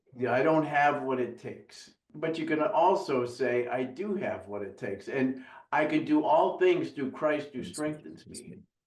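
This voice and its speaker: A man with a fairly high pitch speaks slowly, with vocal fry and big swings in loudness. His pitch varies in an ordinary way, and the room echo is audible. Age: 60s. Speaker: business coach guest. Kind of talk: casual interview chat.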